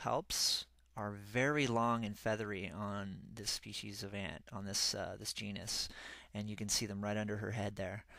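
A man with a bright, sharp tone, fairly low in pitch and fairly even in intonation, on a very clean recording with a silent background. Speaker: ant-keeping hobbyist. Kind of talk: narrated photo slideshow. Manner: casual, hesitant with many fillers.

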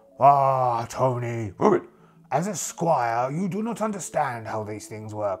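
A man performs a put-on character voice. He speaks at a fairly slow pace with a medium pitch. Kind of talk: solo RPG character voice. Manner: proud, easily distracted.

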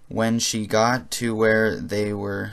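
Very slow pace and fairly even intonation from a man. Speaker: amateur audiobook reader. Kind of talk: reading aloud. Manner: monotone; halting.

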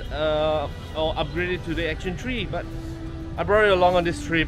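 The speech moves at a moderate pace over clear background music. The sound is dry, with no echo. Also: man. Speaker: travel vlogger. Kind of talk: casual vlog chat. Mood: relaxed, mildly excited. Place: street. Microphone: phone near.

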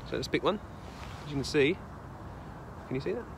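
A man's lively intonation comes through over noticeable background noise. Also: dry sound with no echo. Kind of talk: casual vlog chat. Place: forest. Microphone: phone near.

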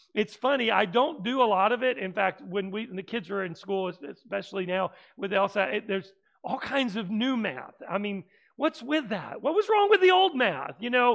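A man speaks at a moderate pace, and the background stays quiet. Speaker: preacher. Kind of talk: sermon. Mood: humorous, light-hearted. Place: church. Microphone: headset.

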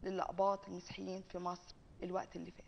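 A woman with an Egyptian accent. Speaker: TV host. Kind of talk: interview question. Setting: studio. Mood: calm, serious. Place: studio. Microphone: lapel.

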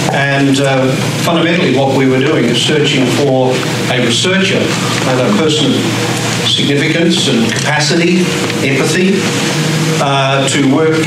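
Loud background noise and audible room echo surround a man who talks at a moderate pace with ordinary pitch variation. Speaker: introducer at a lecture. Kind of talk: speech introducing a guest lecturer. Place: classroom. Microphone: camera far.

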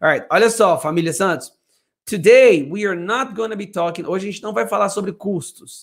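A man's high voice at a fairly quick pace, with ordinary pitch variation and a quiet background. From Brazil. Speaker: English teacher. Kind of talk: live stream English lesson. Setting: home studio. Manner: animated. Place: home room. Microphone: professional microphone; studio mic.

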